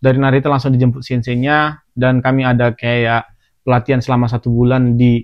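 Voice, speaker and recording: A man talks fairly quickly at a medium pitch. His intonation is monotone and flat, and his loudness stays very even. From Indonesia, Medan (North Sumatra). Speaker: podcast host, former trainee worker in Japan. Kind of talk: casual chat.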